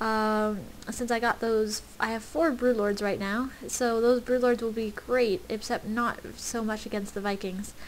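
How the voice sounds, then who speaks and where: A woman with a fairly high pitch and fairly even intonation, hardly pausing at all. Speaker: gamer commentating own match. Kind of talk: gameplay commentary. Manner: fast; hesitant, many fillers.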